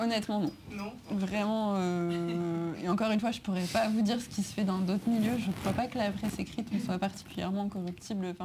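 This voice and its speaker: Over noticeable background noise, a woman talks at a fairly quick pace with a medium pitch and fairly even intonation. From France, Grenoble. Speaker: music journalist. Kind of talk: interview in front of a live audience.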